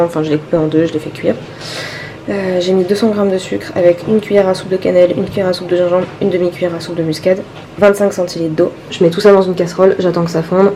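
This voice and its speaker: A woman speaks in a fairly low pitch with monotone, flat intonation. There is noticeable background noise. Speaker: vlogger. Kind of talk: vlog.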